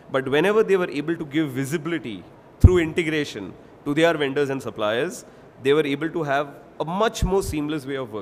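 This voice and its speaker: In an Indian accent, a man speaks with lively intonation. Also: fairly high pitch for a man, fairly quick pace. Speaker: industry expert panelist. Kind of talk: panel presentation.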